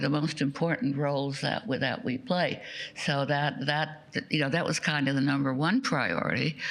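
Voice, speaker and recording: With noticeable background noise behind her, a woman speaks at a moderate pace in a very deep, low pitch, with ordinary pitch variation and very even loudness. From Austria. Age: 90s. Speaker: Holocaust survivor speaker. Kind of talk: testimony. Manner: drops voice at sentence ends.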